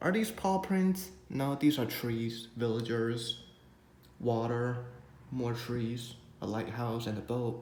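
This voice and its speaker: Audible room echo hangs around words delivered at a very slow pace. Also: man, medium pitch for a man, ordinary pitch variation. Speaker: tech unboxing youtuber. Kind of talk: unboxing video.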